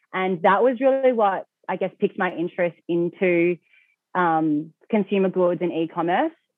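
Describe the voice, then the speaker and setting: The voice carries an Australian accent and ordinary pitch variation. The pace is fairly slow. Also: woman. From Australia, Melbourne. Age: 20s. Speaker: e-commerce founder. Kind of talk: interview.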